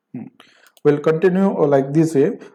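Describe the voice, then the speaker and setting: A man with a fairly high pitch speaks in a dark, mellow tone with ordinary pitch variation, and the room echo is audible. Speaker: programming lecturer. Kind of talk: lecture. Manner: halting.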